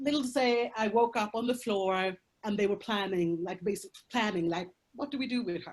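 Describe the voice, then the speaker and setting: A woman speaks with a Swedish accent. Her pitch variation is ordinary. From Colombia, raised in Sweden. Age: 30s. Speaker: prostitution survivor, speaker. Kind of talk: testimony. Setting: video call. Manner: halting.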